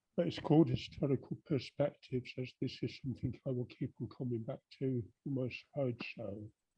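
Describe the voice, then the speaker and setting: Somewhat breathy and dark, mellow in tone, a man speaks fairly quickly at medium pitch with ordinary variation, in a dry, close sound with no echo. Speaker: poet. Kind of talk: introduction to his own poem. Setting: online video call event.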